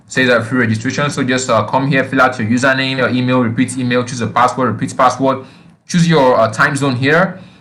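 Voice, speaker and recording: Bright and sharp in tone, a man speaks at a very fast pace with fairly even intonation. Audible room echo surrounds his voice. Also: medium pitch for a man. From Nigeria. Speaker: online marketing instructor. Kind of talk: tutorial. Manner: halting, frequent fillers.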